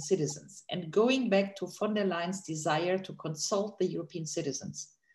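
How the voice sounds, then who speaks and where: A somewhat breathy woman's voice, dark and mellow in tone, medium-pitched, with ordinary pitch variation at a moderate pace. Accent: German. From Germany. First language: German. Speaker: political analyst on a panel. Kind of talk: panel discussion.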